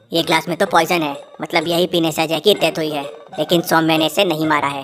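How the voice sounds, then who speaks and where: A woman rattles along at a very fast pace in a cartoonish character voice, fairly low in pitch. Faint music plays in the background. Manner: thinking aloud.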